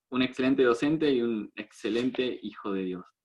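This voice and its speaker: A man's medium-pitched voice carries ordinary pitch variation and moves at a moderate pace. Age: 20s. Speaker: meeting host. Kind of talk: casual chat.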